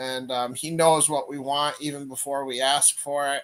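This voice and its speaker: A man with an American accent speaks with a bright, sharp tone and monotone, flat intonation. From upstate New York, near Albany. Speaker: livestream Bible teacher. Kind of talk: live-stream Q&A with chat. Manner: halting, many fillers.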